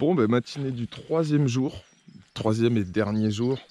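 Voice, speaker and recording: A man with a medium pitch and a dark, mellow tone speaks at a fairly slow pace with lively intonation. The sound is dry and close with no echo. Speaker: carp fishing vlogger. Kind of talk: casual vlog narration. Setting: outdoors by a lake. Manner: soft-spoken.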